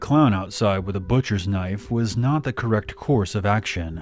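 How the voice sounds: The voice reads aloud naturally. Its pitch moves up and down an ordinary amount.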